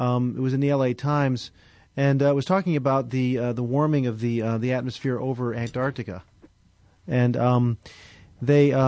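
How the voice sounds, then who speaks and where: Pausing long and often, a man speaks at a moderate pace in a medium pitch with fairly even intonation. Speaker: radio co-host. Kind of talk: radio interview. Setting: studio.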